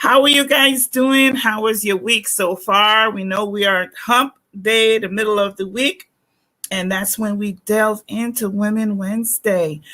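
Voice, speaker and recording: With a Guyanese accent, a woman speaks at a fairly slow pace with ordinary pitch variation. Her voice is fairly high, with a bright, sharp tone. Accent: Guyanese Caribbean English. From Guyana. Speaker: talk show host. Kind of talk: live-stream interview.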